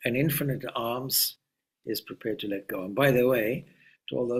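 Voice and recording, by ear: Against a quiet background, someone reads aloud in a natural voice with ordinary pitch movement.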